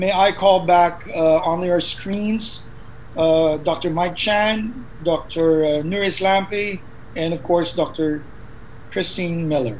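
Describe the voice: Over clear background noise, a man speaks slowly with a high pitch. His intonation is fairly even.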